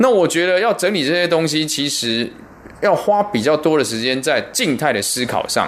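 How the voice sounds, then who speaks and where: Very wide pitch swings at a moderate pace, over noticeable background noise. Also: man, fairly high pitch for a man. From Taiwan. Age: 40s. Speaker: martial arts teacher. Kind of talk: interview.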